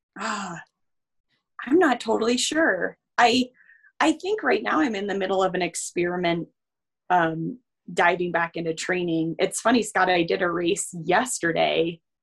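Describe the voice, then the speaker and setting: At a moderate pace, a woman with a normal speaking voice talks at a medium pitch with lively intonation. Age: 30s. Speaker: ski mountaineering racer and coach. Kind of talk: casual chat.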